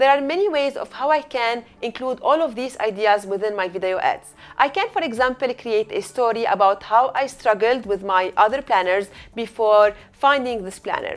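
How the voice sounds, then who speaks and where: Music plays behind a woman with a high pitch. Her intonation is lively and her pace moderate. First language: not English. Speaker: eCommerce coach. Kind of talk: tutorial.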